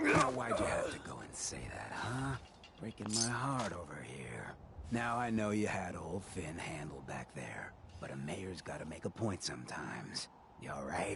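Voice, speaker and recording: Putting on a character voice, a man speaks at a moderate pace and a fairly low pitch, with light background noise. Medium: video game. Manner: casual, streetwise.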